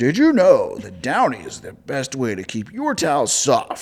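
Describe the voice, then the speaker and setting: A man performs a put-on character voice. He keeps to a moderate pace. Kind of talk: announcer, advertising read.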